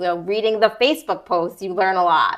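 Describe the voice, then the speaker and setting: A woman talks at a very fast pace in an energetic tone. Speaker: county commissioner candidate. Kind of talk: interview.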